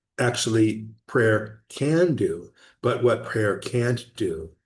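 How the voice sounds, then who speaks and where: There's a somewhat breathy quality to this man's medium-pitched voice. Behind him, the background stays quiet. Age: 60s. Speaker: project founder giving updates. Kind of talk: casual video update monologue. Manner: halting, with fillers and restarts.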